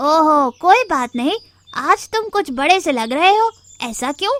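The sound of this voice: A woman performs a cartoonish character voice at an extremely high pitch with very wide pitch swings. The sound is dry and close, with no echo. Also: moderate pace.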